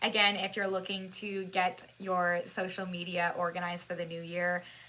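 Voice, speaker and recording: A loud woman's voice at a medium pitch, bright and sharp in tone, with monotone, flat intonation at a moderate pace. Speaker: social media marketing consultant. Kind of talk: webinar presentation. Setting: webinar at a whiteboard. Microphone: new microphone.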